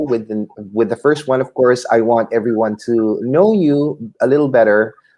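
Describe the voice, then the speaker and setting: A man speaks in a Filipino accent at a moderate pace. His pitch is medium, with ordinary variation. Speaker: YouTube host, aspiring author. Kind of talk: interview.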